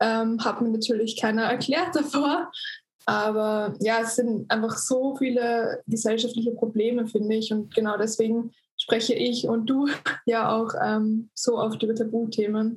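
Fairly high-pitched woman's voice, somewhat breathy, with fairly even intonation and a fairly slow pace. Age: 20s. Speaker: influencer. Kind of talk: casual chat. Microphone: poor recording quality.

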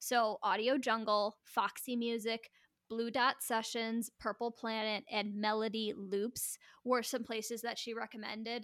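On a very clean recording with a silent background and a dry, close sound with no echo, a woman speaks at a fairly high pitch in a monotone, flat intonation. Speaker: podcast co-host. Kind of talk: casual chat. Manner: loud.

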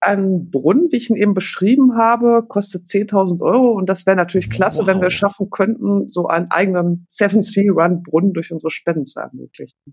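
A woman with an ordinary speaking voice talks fairly quickly at a medium pitch, with ordinary pitch variation and hardly any pauses. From Germany, Paderborn. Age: 40s. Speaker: teacher managing charity projects. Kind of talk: casual chat.

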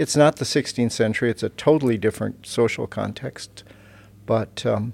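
A man talks at medium pitch and a moderate pace, with ordinary pitch variation. The recording is very clean and the background silent. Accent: American. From US Midwest, Iowa. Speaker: seminary professor and Luther scholar. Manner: measured, hesitant with many fillers.

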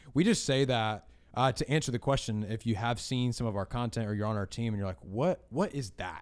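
Energetic in tone, a man speaks fairly quickly at a medium pitch with ordinary pitch variation. The recording is very clean and the background silent. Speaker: podcast host and church production staff. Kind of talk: casual chat.

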